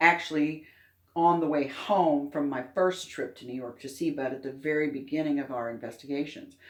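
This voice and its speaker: This woman has a very deep, low pitch and an American accent, talking at a moderate pace with fairly even intonation. Her loudness swings widely, and the room echo is audible. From US Midwest, Indiana. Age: 60s. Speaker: alien abduction experiencer and author. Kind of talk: interview. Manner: halting.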